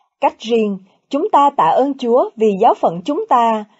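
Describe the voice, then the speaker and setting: A somewhat breathy voice at a fairly slow pace. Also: woman. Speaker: radio presenter reading a pastoral letter. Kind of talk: news reading.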